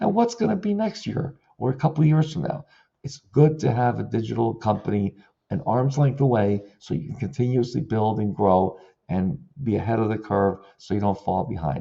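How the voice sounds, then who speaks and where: Vocal fry runs through a man's medium-pitched voice as he speaks at a moderate pace with lively intonation. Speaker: digital marketing consultant and former florist. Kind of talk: video tutorial monologue.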